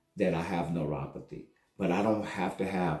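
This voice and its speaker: A man with an American accent speaks in a very deep, low pitch. His tone is dark and mellow, and the room echo is audible. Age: 60s. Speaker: vlogger, network marketer. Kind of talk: casual monologue vlog. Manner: halting.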